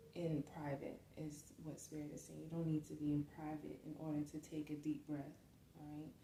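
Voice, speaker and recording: Soft-spoken, a woman talks in a very deep, low pitch with monotone, flat intonation. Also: moderate pace. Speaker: tarot or spiritual reader. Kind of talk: spiritual reading. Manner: hesitant, with many fillers.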